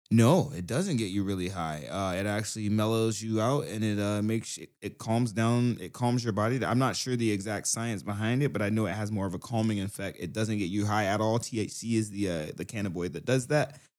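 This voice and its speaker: A man with a normal speaking voice talks in an American accent, fairly low in pitch with ordinary pitch variation. His fairly quick delivery has hardly any pauses, in a very clean recording with a silent background. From US South, Brunswick, Georgia. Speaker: rapper, musician. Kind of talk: casual chat. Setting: studio.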